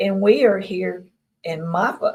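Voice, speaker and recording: In a Mississippi accent, a woman speaks at a fairly slow pace, somewhat breathy, at a medium pitch with ordinary pitch variation. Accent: Southern US (Mississippi). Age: 60s. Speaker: experiencer guest. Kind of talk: interview.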